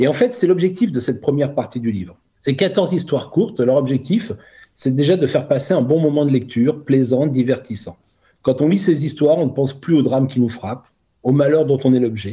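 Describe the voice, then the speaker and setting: Somewhat breathy and fairly high for a man, this voice has a dark, mellow tone, lively intonation and a fairly quick pace. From Burgundy, France. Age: 50s. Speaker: author and coach. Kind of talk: interview. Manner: hesitant with fillers.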